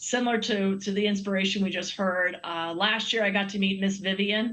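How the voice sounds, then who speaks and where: Her tone is bright and sharp, at a medium pitch for a woman. She keeps a moderate pace with monotone, flat intonation. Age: 60s. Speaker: Olympic swimmer and sponsor representative. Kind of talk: TV interview.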